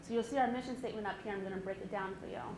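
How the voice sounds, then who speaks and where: A woman speaks at a medium pitch with ordinary pitch variation, her voice carrying audible room echo over noticeable background noise. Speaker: nonprofit foundation executive director. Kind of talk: community presentation. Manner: fast.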